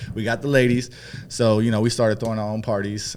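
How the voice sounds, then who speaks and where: With a Northern California accent, a man speaks in a fairly low, monotone, flat voice. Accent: Northern California American. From San Francisco Bay Area (Peninsula). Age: 40s. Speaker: nightlife promoter and brand ambassador. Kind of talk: podcast interview.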